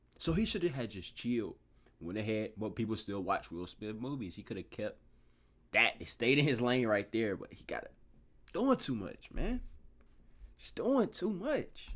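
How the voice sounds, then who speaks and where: With an American accent and an animated tone, a man talks at a moderate pace with long, frequent pauses and big swings in loudness on a very clean recording with a silent background. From US South. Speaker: YouTube reactor. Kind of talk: reaction commentary. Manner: casual, animated.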